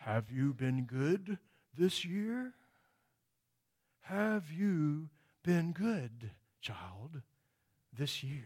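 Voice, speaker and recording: A man uses a put-on character voice with a fairly high pitch. His pace is very slow, with long, frequent pauses. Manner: fatherly, jolly.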